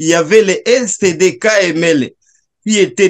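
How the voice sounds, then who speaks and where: Against a quiet background, a man's pitch rises and falls normally. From eastern Democratic Republic of the Congo (South Kivu); eastern Democratic Republic of the Congo. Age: 30s. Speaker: Congolese refugee and commentator. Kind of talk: video call discussion. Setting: video call. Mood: earnest, recounting war memories. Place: home room. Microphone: video call.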